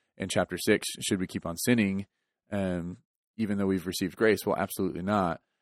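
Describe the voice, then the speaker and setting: Very deep and low, a man's voice runs at a fairly quick pace in a monotone, flat intonation, dry and close with no echo on a very clean recording with a silent background. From Texas. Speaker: church podcast co-host. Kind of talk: casual chat about a sermon.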